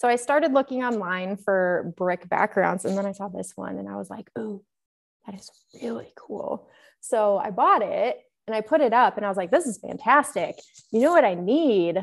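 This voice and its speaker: A woman with a fairly high pitch, vocal fry, lively intonation, big swings in loudness and a moderate pace. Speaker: movie collector YouTuber. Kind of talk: casual chat. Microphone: echoey audio despite new microphone.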